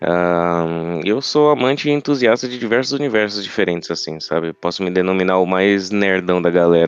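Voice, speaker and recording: A man's very deep, low voice at a moderate pace, with lively intonation, hardly any pauses, and a quiet background. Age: 20s. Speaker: podcast co-host, journalism student. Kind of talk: casual chat.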